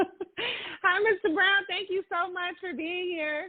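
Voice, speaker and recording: A woman's squeaky, put-on character voice, extremely high in pitch, cheerful in tone, at a fairly slow pace. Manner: happy, cheerful.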